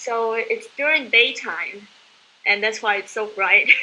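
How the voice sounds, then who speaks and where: A woman's fairly high voice with a Chinese accent, at a moderate pace. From southeast China. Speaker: conference participant. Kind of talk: casual group chat. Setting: video call.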